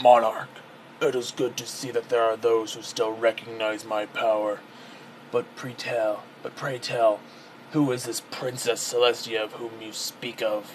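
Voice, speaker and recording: Doing a put-on character voice, a man sounds raspy at a medium pitch with monotone, flat intonation, and clear background noise is present. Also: moderate pace. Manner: pompous, formal.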